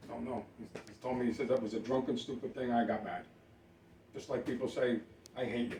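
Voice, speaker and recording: This man speaks at a fairly quick pace with ordinary pitch variation. Long pauses break up his speech often. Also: medium pitch for a man. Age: 60s. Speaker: mobile home park owner. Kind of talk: heated argument. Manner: interrupting, repetitive.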